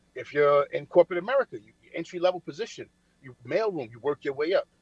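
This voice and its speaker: With lively intonation and a high voice, a man talks very fast in a dry, close sound with no echo. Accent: New York. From Brooklyn, New York (Coney Island). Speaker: military veteran and finance speaker. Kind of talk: casual motivational talk. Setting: remote call from a diner. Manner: repetitive, stammering.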